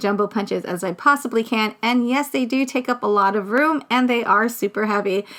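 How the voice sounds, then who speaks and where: Fairly quick pace from a woman at a fairly high pitch, her pitch variation ordinary. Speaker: craft vlogger. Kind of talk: casual tutorial. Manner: fast.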